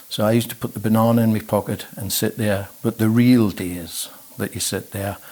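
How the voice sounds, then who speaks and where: Talking at a fairly quick pace, a man uses a fairly low, dark, mellow voice with fairly even intonation. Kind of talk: oral history interview answer. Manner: reflective, hesitant.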